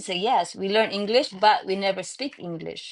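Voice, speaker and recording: At a fairly quick pace, a woman with a Filipino accent speaks at a medium pitch with lively intonation. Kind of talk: casual chat. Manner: halting.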